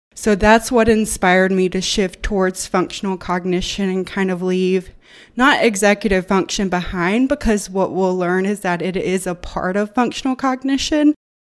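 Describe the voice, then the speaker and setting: A woman with a Southern US accent talks at a moderate pace in a medium pitch with ordinary pitch variation, on a very clean recording with a silent background. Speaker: occupational therapy student and researcher. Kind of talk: casual interview about research.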